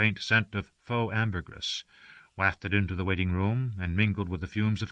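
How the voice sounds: Fairly even intonation in a natural reading voice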